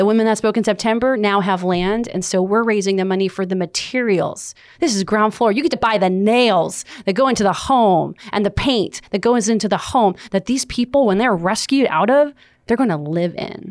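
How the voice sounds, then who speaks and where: An animated tone carries the speech at a moderate pace. Pitch varies in an ordinary way, with an American accent. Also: woman, medium pitch for a woman. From US West Coast (Los Angeles). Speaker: motivational speaker and success coach. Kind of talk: interview.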